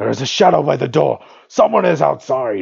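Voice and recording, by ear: A man in a put-on character voice at a medium pitch.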